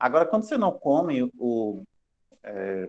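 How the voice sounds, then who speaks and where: The sound of this man talking is dry and close, without any echo. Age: 30s. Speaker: university lecturer. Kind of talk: lecture. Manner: fast; casual, joking.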